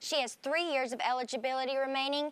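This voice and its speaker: A woman talks very fast in a high pitch, her raised, projected voice bright and sharp in tone. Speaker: sports news anchor. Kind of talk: sports news broadcast air check.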